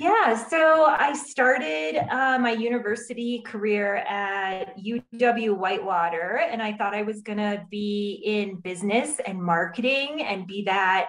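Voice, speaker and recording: Spoken at a fairly slow pace with hardly any pauses, the voice has lively intonation, while noticeable background noise and audible room echo fill the recording. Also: woman, fairly high pitch for a woman. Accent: Wisconsin. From Wisconsin, US (Viroqua). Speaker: refugee program director. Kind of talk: interview.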